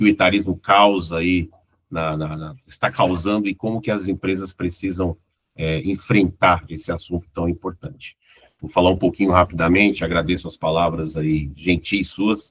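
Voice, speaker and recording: A man with a very deep, low pitch speaks at a moderate pace with fairly even intonation and big swings in loudness, in a dry, close sound with no echo. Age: 50s. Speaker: corporate consultant and former executive. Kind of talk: casual chat. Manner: relaxed.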